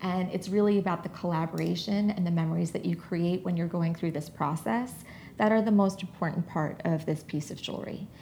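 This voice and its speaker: A woman with a New York accent speaks fairly quickly at a fairly low pitch, her tone dark and mellow, somewhat breathy, with fairly even intonation. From New York City (Jamaica, Queens). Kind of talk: interview.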